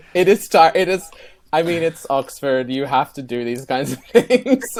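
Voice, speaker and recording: Speaking at a moderate pace, a man with a fairly high voice makes very wide pitch swings and big shifts in loudness. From Australia. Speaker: doctoral student and author. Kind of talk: casual chat.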